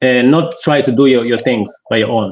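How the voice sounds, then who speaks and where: A man is speaking. His pace is moderate. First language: African local dialect; French is second language, not English. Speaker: entrepreneur guest. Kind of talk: interview. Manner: halting, many repetitions and fillers.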